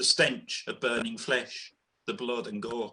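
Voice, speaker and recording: With a Birmingham accent, a man talks in a bright, sharp tone. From Birmingham, England. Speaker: poet. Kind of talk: spoken word poetry performance.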